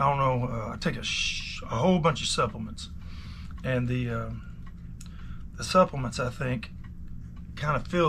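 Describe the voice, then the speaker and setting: In a room with audible echo, a man speaks at medium pitch and a moderate pace in a relaxed tone. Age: 50s. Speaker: watch repairer. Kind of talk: casual vlog talk. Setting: repair shop. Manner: relaxed, rambling with many fillers.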